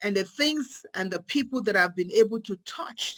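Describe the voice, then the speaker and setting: This woman has an African accent and a medium pitch. Her intonation is lively. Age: 50s. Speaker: psychiatric nurse practitioner. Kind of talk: motivational talk. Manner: animated.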